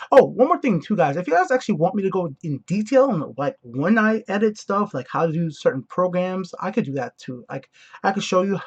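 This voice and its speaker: A man with an American accent, high-pitched and fairly quick, with very wide pitch swings and a dry, close sound with no echo. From outside the US. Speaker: gaming YouTuber. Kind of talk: casual chat. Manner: halting.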